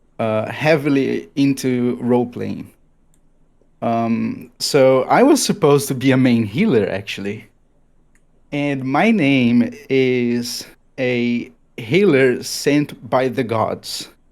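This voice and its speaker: A man with a Brazilian Portuguese accent speaks very slowly at a medium pitch, his pitch varying in an ordinary way, on a very clean recording with a silent background. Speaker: gamer. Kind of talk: casual chat. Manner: halting.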